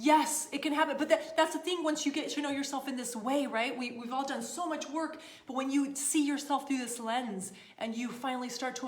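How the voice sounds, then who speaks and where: Animated in tone, a woman with a high pitch and ordinary pitch variation speaks at a fairly quick pace amid audible room echo. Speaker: style coach and livestream host. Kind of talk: live stream Q&A with viewers. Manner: animated, casual.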